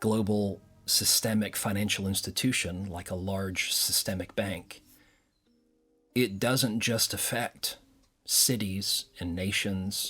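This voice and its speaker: Music plays in the background as a man speaks at a very slow pace with long, frequent pauses. His pitch is fairly low and his intonation fairly even. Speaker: cybersecurity expert and security strategist. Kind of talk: interview answer.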